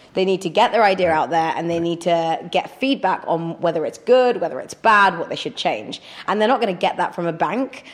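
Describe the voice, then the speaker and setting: A woman with a British accent at a very fast pace, with lively intonation and hardly any pauses. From northern England. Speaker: crowdfunding platform executive and tech presenter. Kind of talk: casual interview.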